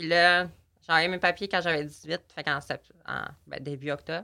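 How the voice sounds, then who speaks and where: In a Saguenay–Lac-Saint-Jean accent, a woman speaks very slowly at a fairly low pitch with a bright, sharp tone, on a very clean recording with a silent background. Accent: Quebec French, Saguenay–Lac-Saint-Jean. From Quebec, Lac-Saint-Jean. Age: 18. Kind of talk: casual interview.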